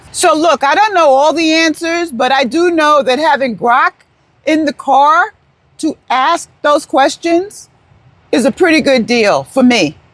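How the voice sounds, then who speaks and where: Loud, fairly slow speech in an American accent. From New York. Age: 70s. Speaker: retired vlogger. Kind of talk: casual vlog talk. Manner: rambling, halting.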